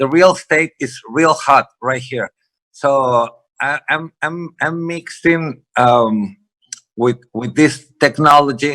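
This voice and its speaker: Speaking very slowly in a Spanish accent, a man with a fairly high pitch and a bright, sharp tone shows ordinary pitch variation, with a dry, close sound and no echo. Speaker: real estate investor. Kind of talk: panel discussion. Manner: halting.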